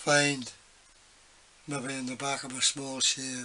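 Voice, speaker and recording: Speaking at a very slow pace, a man keeps a monotone, flat intonation. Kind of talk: casual workshop tip chat. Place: workshop. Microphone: phone near.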